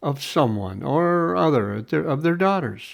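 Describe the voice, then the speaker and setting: A man with an American accent at a fairly slow pace, with very wide pitch swings over a quiet background. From Pacific Northwest, US. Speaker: former radio broadcaster. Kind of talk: audiobook reading.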